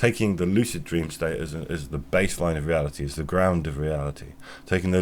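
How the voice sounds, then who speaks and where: In a British accent, a man with a very deep, low pitch and vocal fry talks at a fairly quick pace. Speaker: podcaster. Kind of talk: philosophical monologue. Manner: fast; halting.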